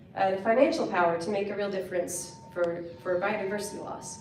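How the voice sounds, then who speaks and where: A woman with an American accent talks at a medium tempo, her voice carrying a clear room echo over a fair amount of background noise. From Virginia, US. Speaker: conservation nonprofit founder. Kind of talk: conference presentation.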